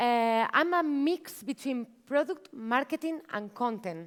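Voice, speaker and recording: A woman speaks in a Spanish accent at a high pitch with lively intonation. The recording is very clean, with a silent background. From Spain (Barcelona). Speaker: marketing manager, workshop speaker. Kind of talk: conference talk. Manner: animated.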